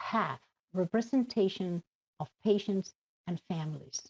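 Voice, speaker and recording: A woman in a Spanish accent speaks at a fairly slow pace with very wide pitch swings. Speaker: addiction advocate. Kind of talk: conference speech.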